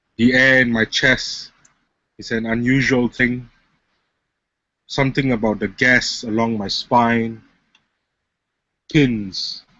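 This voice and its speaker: Very slowly and with long, frequent pauses, a man talks in a monotone, flat voice. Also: medium pitch for a man. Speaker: spoken word poet. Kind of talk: spoken word poetry performance. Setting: webcam recording.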